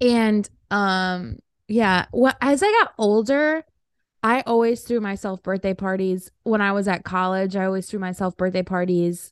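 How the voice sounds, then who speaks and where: Against a quiet background, a woman with an ordinary speaking voice talks at a fairly slow pace, medium in pitch with ordinary pitch variation, in a dry, close sound with no echo. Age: 20s. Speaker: podcast co-host. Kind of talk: casual chat.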